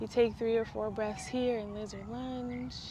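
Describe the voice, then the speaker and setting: A woman with a fairly high pitch talks at a fairly slow pace, with audible room echo in the recording. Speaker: yoga teacher. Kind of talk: tutorial. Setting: voiceover. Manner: soft-spoken.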